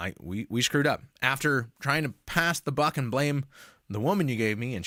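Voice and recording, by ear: With ordinary pitch variation, this clip features reading aloud in a natural voice.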